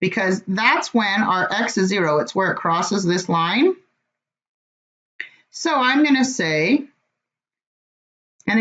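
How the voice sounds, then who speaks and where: Swinging very widely in pitch, a woman talks with a somewhat breathy voice. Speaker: math teacher. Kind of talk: online class quiz review lecture.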